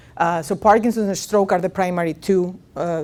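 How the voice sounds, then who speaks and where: A woman with a Greek accent talks at a fairly quick pace in a medium pitch with ordinary pitch variation. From Greece. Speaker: professor of speech and swallowing research. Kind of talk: lecture. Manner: many fillers (uh, um).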